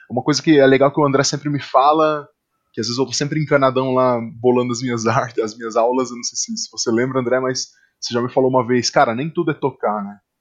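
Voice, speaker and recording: A man's voice sits at a medium pitch. He talks very fast. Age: 30s. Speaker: podcast host, drummer and music educator. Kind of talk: casual interview chat. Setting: studio.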